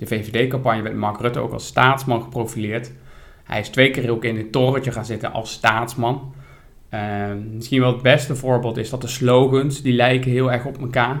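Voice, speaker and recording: Somewhat breathy and flat in its monotone intonation, the voice moves at a moderate pace with audible room echo. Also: man, medium pitch for a man. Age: 30s. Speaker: podcast co-host. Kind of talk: casual chat about politics.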